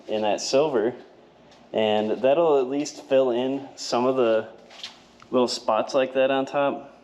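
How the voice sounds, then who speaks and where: This man talks fairly slowly, his pitch varying in an ordinary way, with noticeable noise in the background. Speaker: car restoration youtuber. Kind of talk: tutorial. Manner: casual, many fillers.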